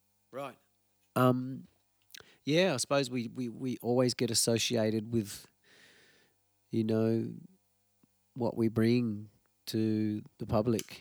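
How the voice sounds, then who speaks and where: A man with an Australian accent at a very slow pace, with long, frequent pauses. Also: medium pitch for a man, fairly even intonation. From Tasmania, Australia. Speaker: musician. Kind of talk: casual interview. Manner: halting.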